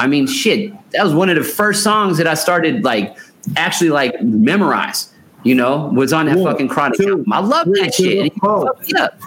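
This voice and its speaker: With an American accent and a high pitch, a man speaks at a moderate pace using lively intonation. His loudness stays very even, though noticeable background noise is present. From Seattle, US Pacific Northwest. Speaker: podcast co-host. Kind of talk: casual chat.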